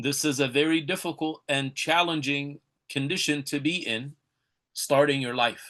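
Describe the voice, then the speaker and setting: A man's fairly high-pitched voice, bright and sharp in tone, with fairly even intonation at a moderate pace against a quiet background. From California. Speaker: Islamic teacher. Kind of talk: online lecture. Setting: live webinar.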